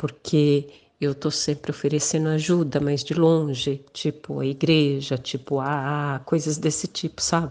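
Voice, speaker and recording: Speaking at a fairly slow pace, the woman has a very deep, low pitch, a dark, mellow tone and monotone, flat intonation. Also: quiet background. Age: 60s. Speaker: listener asking for advice. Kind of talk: recorded listener question.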